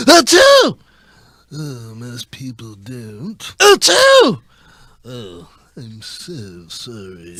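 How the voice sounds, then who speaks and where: Using a put-on character voice, a man speaks at a very slow pace and fairly high pitch, with long, frequent pauses and big swings in loudness. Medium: comedy sketch.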